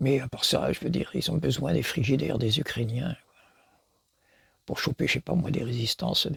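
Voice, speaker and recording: The voice carries vocal fry and ordinary pitch variation at a moderate pace. Long pauses come often. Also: man, medium pitch for a man. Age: 80s+. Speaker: philosopher. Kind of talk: lecture. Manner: halting.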